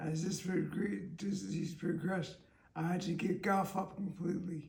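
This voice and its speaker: Amid audible room echo, a high-pitched man speaks at a moderate pace with monotone, flat intonation. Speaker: interviewee living with a terminal illness. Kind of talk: interview. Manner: slurred, impaired speech; halting.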